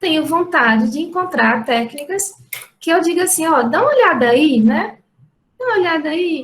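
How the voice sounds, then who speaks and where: A woman speaks at a moderate pace with a strong Ceará accent. Her pitch swings very widely. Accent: strong Ceará (northeastern Brazil). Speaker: university professor. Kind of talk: lecture.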